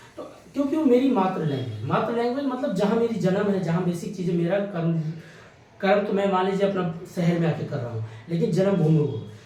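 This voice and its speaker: A man's high-pitched voice with very wide pitch swings at a moderate pace, with audible room echo and noticeable background noise. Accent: slight Awadhi. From India, Awadh region (Ayodhya belt, Uttar Pradesh). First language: Awadhi (speaking Hindi). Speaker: exam coaching teacher. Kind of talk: lecture. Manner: conversational, explanatory.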